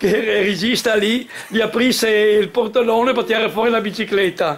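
The man's voice is high-pitched. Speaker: cycling fan; guest. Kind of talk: anecdote. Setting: stage with audience. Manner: halting. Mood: emotional, heartfelt recollection. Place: hall. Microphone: camera far.

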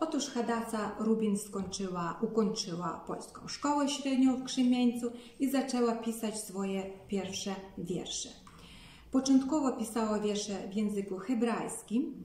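A woman talks with audible room echo and a little noise in the background. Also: ordinary pitch variation, fairly slow pace. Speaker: narrator of local history. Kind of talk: talk to camera on a poet's life. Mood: calm, earnest. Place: home room. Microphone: phone near.

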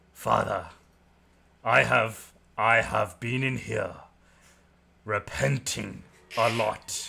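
A man's put-on character voice, raspy and medium in pitch, at a very slow pace with long, frequent pauses and fairly even intonation. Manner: chatty, sly, gushing.

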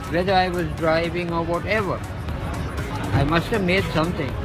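Clear music plays in the background as a man speaks at a moderate pace. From Lahore, Pakistan. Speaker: street interviewee. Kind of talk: interview answer. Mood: earnest, sad life story. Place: street. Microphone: phone near.

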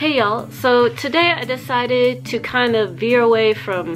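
Fairly slow speech from a woman, with faint music in the background. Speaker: vlogger. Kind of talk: casual vlog chat with tips. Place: home room. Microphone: phone near.

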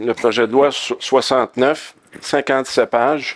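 A man speaking, quiet background behind him. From Quebec. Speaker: tech company co-founder; panelist. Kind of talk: panel discussion. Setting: conference stage with audience. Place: stage. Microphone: headset.

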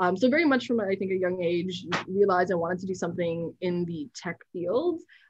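Talking at a fairly quick pace, a woman speaks at a medium pitch. Her voice is somewhat breathy. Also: ordinary pitch variation, quiet background. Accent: Canadian. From Canada. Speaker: software founder and nonprofit director; guest. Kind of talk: interview. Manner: animated. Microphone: webcam.

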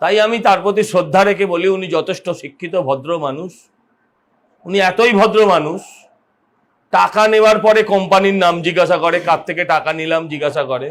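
With ordinary pitch variation, this man talks in a high-pitched voice. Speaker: politician. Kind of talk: political speech to press. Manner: sarcastic, emphatic.

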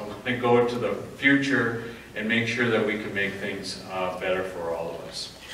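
A man speaks at a moderate pace with ordinary pitch variation, amid audible room echo and light background noise. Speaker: conference presenter. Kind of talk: lecture. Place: hall. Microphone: camera far.

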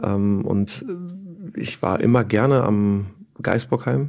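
The speaker is a man with a fairly low pitch. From Germany, Bonn (Rhineland). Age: 40s. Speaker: former professional footballer. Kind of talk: casual interview. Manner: hesitant, many fillers.

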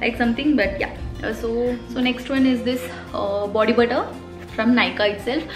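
A woman speaks with clear music in the background. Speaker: beauty vlogger. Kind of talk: casual vlog chat. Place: home room.

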